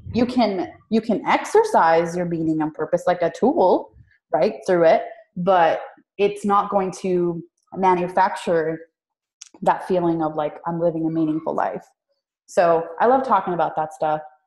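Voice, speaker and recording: A woman's fairly slow speech in a Spanish accent, fairly low in pitch with ordinary variation. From Puerto Rico. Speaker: business coach. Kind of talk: interview.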